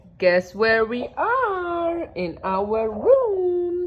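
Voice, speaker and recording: Over noticeable background noise, a woman with a Swiss accent speaks in an animated tone. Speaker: vlogger. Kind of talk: casual travel vlog.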